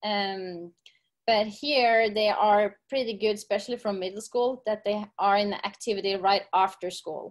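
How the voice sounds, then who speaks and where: A woman's medium-pitched voice with a Norwegian accent, at a fairly slow pace. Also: fairly even intonation. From Norway. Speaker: gym owner and fitness coach. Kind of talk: casual interview. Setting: video call.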